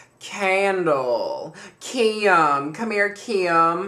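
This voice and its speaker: At a middle pitch, someone performs in a put-on character voice. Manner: calling someone over, warm and lively.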